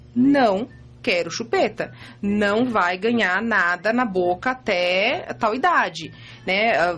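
A woman in a plain, everyday voice with ordinary pitch variation. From Santa Catarina, Brazil (Ipumirim). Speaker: image consultant and mother of five. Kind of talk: casual interview, personal testimony. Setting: radio studio.

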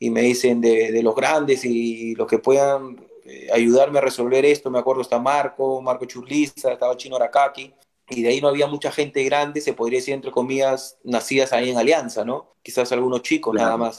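With a Peruvian accent, a man speaks at a medium pitch in a monotone, flat intonation with hardly any pauses. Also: fairly quick pace. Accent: Peruvian Spanish (Lima). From Peru, Lima (Barranco). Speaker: retired footballer. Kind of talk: interview.

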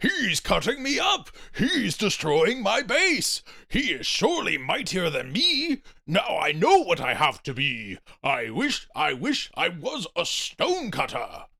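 Extremely high in pitch, a man speaks at a fairly slow pace. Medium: read story. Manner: boastful, wrathful, grandiose.

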